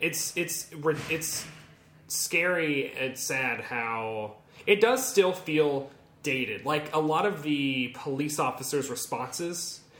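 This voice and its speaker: Noticeable background noise sits under a man with an American accent. His pitch is fairly high, and he speaks at a very slow pace. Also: lively intonation. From US South. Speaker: comics podcast co-host. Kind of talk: casual chat. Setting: writers' room, in-person recording.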